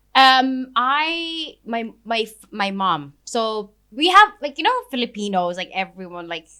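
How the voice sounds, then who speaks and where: With hardly any pauses, a woman speaks at a fairly high pitch in a bright, sharp tone with very wide pitch swings. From Philippines (Pangasinan), then Spain, UK from 16. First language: Ilocano / Filipino. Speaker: ice cream business founder. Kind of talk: casual chat. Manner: hesitant, many fillers.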